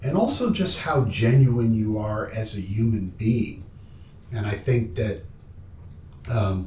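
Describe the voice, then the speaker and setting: Amid audible room echo, a man speaks at a very slow pace in a medium pitch with long, frequent pauses. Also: ordinary pitch variation. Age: 60s. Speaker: documentary filmmaker interviewing his father. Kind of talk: family interview conversation. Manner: halting.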